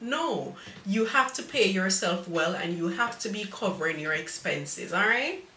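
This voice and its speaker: In a Jamaican accent, a woman talks at a medium pitch with ordinary pitch variation, over noticeable background noise and audible room echo. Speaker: cake decorator. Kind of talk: live stream tutorial. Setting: live stream.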